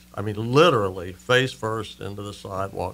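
The man's bright, sharp tone moves at a moderate pace with ordinary pitch variation. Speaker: radio guest. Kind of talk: interview answer, storytelling. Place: studio. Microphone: studio mic.

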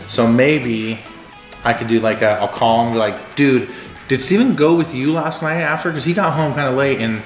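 Faint music plays in the background as a man speaks at a moderate pace. Room echo is audible. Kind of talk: casual vlog chat. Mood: playful, scheming. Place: kitchen. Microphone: camera far.

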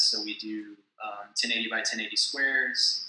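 A man's bright, sharp tone with audible room echo

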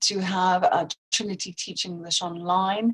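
A woman talks at a fairly slow pace in a flat, monotone way. Her voice is somewhat breathy, and the background is quiet. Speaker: exam board representative. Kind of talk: sponsor product presentation. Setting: online conference. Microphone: video call.

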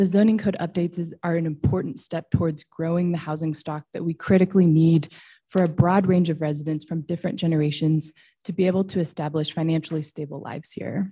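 In a Western US accent, a woman speaks at a very fast pace with a fairly low pitch, a dark, mellow, somewhat breathy tone and fairly even intonation against a quiet background. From Boise, Idaho, US; Idaho. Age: 30s. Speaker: public commenter. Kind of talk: public testimony. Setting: public hearing. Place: hall. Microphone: podium.

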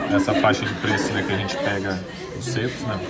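Moderate pace with music in the background. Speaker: restaurant vlogger. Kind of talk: casual vlog chat. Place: cafe. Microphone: phone near.

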